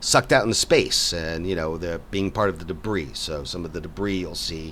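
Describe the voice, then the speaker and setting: Audible room echo surrounds a man with a very deep, low pitch and vocal fry. He talks at a moderate pace with ordinary pitch variation. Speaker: game developer and artist. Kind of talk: casual game walkthrough. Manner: halting, many repetitions.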